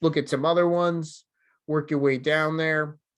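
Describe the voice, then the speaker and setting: Over a quiet background, a man with a New Jersey accent speaks at a fairly high pitch with fairly even intonation. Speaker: software developer advocate. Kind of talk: conference talk. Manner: casual, filler-heavy.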